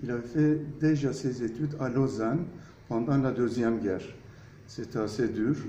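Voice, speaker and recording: Audible room echo surrounds a man speaking at a fairly slow pace with long, frequent pauses. His pitch is medium, with ordinary variation. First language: Turkish (speaking French). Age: 60s. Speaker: architect. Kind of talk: interview. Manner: hesitant, many fillers.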